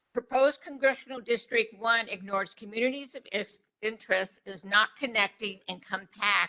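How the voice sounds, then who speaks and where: Bright and sharp in tone, a woman with an American accent talks at medium pitch and a moderate pace with ordinary pitch variation. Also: big swings in loudness. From Arizona, Phoenix area. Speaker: public hearing speaker. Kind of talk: public comment. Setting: public hearing. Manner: formal.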